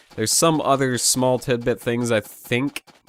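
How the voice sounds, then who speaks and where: Over noticeable background noise, a man speaks at a medium pitch. His tone is animated. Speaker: gaming youtuber. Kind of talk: let's play commentary.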